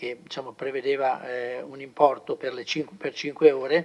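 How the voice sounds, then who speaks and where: A fairly high-pitched man at a moderate pace, with noticeable background noise. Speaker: city councillor presenting budget. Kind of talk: council meeting presentation. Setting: council chamber. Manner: halting, many fillers.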